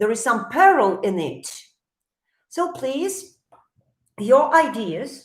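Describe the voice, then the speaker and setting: Loud and high-pitched, a woman speaks very slowly with very wide pitch swings and long, frequent pauses. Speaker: psychologist. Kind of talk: live stream talk. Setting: live stream.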